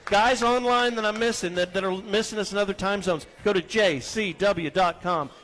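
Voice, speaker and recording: Crowd noise fills the background as a man speaks with a high pitch. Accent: American. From Texas. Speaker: radio host. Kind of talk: live radio show, casual talk. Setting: live remote broadcast at a restaurant.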